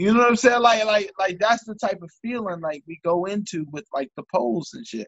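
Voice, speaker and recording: A man speaks high in pitch with lively intonation. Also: moderate pace. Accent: American. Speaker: podcast host. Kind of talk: casual chat, podcast.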